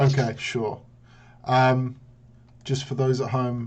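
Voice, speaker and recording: A somewhat breathy man's voice, fairly high in pitch. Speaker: game commentator. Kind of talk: live commentary. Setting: live stream.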